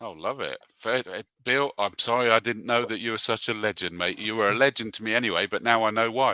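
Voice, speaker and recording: A man's bright, sharp voice at a medium pitch and fairly quick pace, with fairly even intonation and hardly any pauses, in a dry, close, very clean recording with a silent background. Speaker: motorsport commentator. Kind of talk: casual chat.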